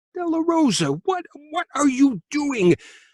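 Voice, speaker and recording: Putting on a character voice, a man talks in an extremely high pitch at a fairly slow pace. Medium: read story.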